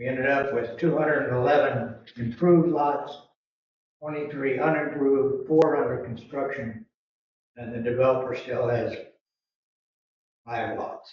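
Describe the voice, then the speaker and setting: Room echo is audible as a man with a fairly high pitch speaks at a moderate pace. His intonation stays fairly even, broken by long, frequent pauses. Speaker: treasurer. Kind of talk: financial report.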